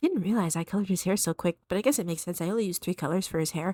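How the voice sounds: A woman's fairly low, dark, mellow voice in a dry, close sound with no echo. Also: very clean recording, silent background.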